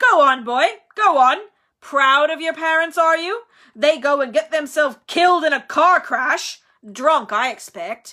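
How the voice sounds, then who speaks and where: A raised, projected, put-on character voice moves at a moderate pace with lively intonation on a very clean recording with a silent background. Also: woman, high pitch for a woman. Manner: harsh, bullying.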